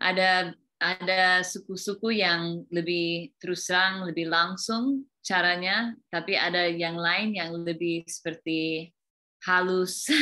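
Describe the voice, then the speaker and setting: A woman in an English accent, very slow, with fairly even intonation. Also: fairly low pitch for a woman. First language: English (speaking Indonesian). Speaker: teacher. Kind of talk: interview. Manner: halting.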